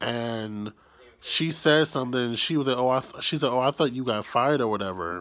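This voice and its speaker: A man speaks quietly at a fairly quick pace. His tone is bright and sharp. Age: 20s. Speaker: YouTuber. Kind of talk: personal vlog storytelling. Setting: at home, early morning, self-held camera. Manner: quiet, keeping voice down. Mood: relaxed, reflective, some frustration. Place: home room. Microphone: phone near.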